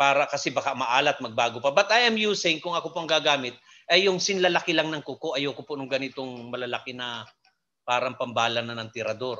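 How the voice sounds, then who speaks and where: Ordinary pitch variation marks this man's fairly high-pitched voice. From Philippines. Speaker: hydroponics expert / lecturer. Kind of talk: lecture. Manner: halting, many fillers.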